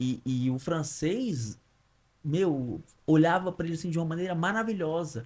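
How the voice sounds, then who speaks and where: A man with an unremarkable speaking voice, fairly high in pitch, lively intonation at a moderate pace. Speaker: podcast host. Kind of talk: casual interview.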